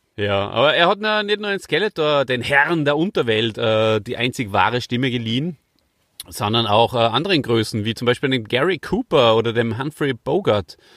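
Lively intonation colors the speech of a man with an Austrian accent. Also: medium pitch for a man, moderate pace. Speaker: podcast host. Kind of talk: casual chat.

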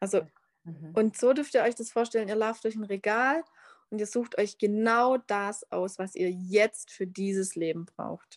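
A plain, everyday voice with ordinary pitch variation, a fairly slow pace, and a dry, close sound with no echo. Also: woman, medium pitch for a woman. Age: 30s. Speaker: human design coach. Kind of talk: interview. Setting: video call.

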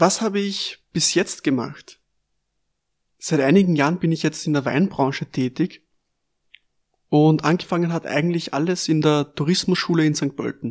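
Speaking at a moderate pace in an Austrian accent, a man with a fairly high pitch and fairly even intonation takes long, frequent pauses. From Lower Austria, Melk district. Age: 20s. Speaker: sommelier and podcast host. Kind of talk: scripted podcast introduction.

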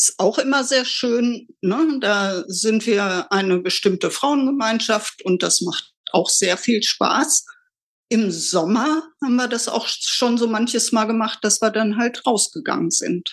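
A woman speaks very slowly at a fairly high pitch, with ordinary pitch variation. Her loudness stays very even. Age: 60s. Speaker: retiree. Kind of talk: casual chat.

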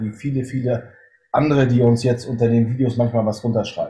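Speaking at a moderate pace, a man has a medium-pitched, somewhat breathy voice with a dark, mellow tone. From northern Germany. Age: 40s. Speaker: hunting filmmaker and police officer. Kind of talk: interview. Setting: video call.

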